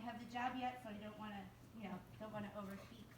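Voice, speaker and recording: A woman talks at a very fast pace. Audible room echo surrounds her voice. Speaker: guest speaker, urban planning professional. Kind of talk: guest lecture to a class. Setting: classroom. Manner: hesitant, many fillers.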